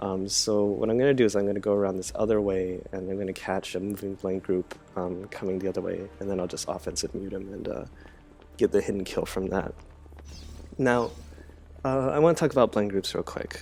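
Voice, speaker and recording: A man's fairly low voice at a fairly quick pace, ordinary pitch variation, music playing in the background. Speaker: gamer, gameplay commentator. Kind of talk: gameplay commentary. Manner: casual, hesitant with many fillers.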